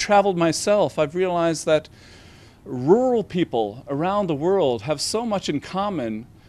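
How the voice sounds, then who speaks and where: A man with a Newfoundland accent and lively intonation, over a quiet background. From Newfoundland, Canada. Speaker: novelist. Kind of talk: interview about his book. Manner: halting, many fillers and restarts.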